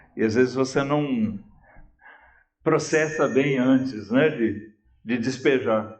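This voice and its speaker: With very even loudness and fairly even intonation, the voice moves at a very slow pace through long, frequent pauses in audible room echo. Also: man, medium pitch for a man. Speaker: pastor. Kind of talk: sermon. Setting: church. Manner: slow, with pauses; calm.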